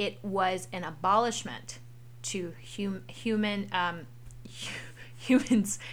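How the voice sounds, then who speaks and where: At a very slow pace, a woman with a medium pitch and vocal fry moves through very wide pitch swings. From US South. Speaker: parent hosting a family history podcast. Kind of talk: casual educational chat for children.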